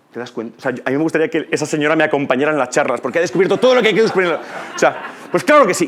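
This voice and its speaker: Noticeable background noise sits behind a man speaking very fast in a fairly high pitch. His intonation is lively and his tone animated. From Spain, Ciudad Real (La Mancha). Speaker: conference speaker, teacher. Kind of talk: conference talk. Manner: animated, conversational.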